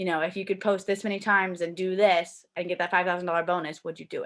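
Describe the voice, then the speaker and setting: A woman talks at a medium pitch in an animated tone. The recording is very clean, with a silent background. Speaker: network marketer. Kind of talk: live video talk to team. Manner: fast.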